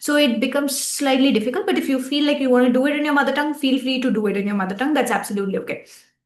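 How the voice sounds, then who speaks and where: A woman with a Tamil accent, high-pitched, at a very fast pace with hardly any pauses and ordinary pitch variation, over noticeable background noise. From India, Tamil-speaking. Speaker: relationship coach, podcast co-host. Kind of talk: casual chat.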